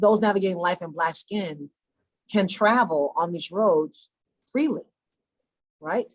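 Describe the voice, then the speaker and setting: Speaking with an American accent, a woman uses lively intonation at medium pitch. Her pace is fairly slow, with long, frequent pauses. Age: 60s. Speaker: deputy police commissioner. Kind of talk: panel discussion.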